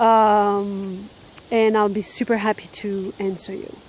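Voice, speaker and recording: A woman speaks with a French accent at a fairly high pitch. There is noticeable background noise. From France. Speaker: life and business coach. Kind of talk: casual talking-head video. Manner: casual, many fillers.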